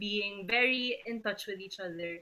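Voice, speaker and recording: A soft-spoken woman talks at a medium pitch. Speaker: family member giving a eulogy. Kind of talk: eulogy. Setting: video call.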